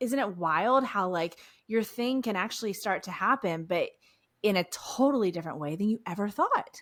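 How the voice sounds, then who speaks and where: Animated in tone, this speaker has an American accent and keeps a moderate pace. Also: woman, medium pitch for a woman, lively intonation. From Texas, Houston. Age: 40s. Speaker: podcast host. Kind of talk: interview.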